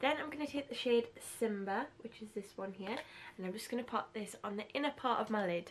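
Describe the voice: A woman's fairly high voice at a fairly quick pace. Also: ordinary pitch variation.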